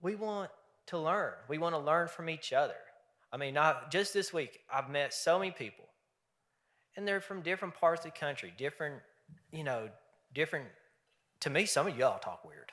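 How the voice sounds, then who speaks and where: With a bright, sharp tone, a fairly high-pitched man talks at a moderate pace, using ordinary pitch variation and long, frequent pauses. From Eastern Kentucky. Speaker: fraternity leader. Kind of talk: convention speech. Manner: folksy, animated.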